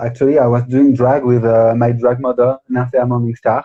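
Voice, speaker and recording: This is a man with a French accent. His pitch is medium. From France, the Alps. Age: 20s. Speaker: drag artist. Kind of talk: interview. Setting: live stream video call. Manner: halting.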